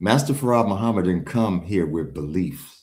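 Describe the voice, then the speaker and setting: A man talks with vocal fry. His pitch is very deep and low. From Chicago, US. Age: 60s. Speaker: religious movement follower and author. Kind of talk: interview. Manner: emphatic.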